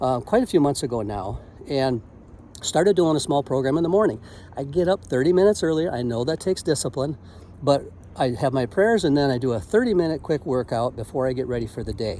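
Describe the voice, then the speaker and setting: Fairly high for a man yet dark and mellow in tone, his voice races at a very fast pace with lively intonation. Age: 60s. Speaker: motivational vlogger and business owner. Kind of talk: casual motivational vlog.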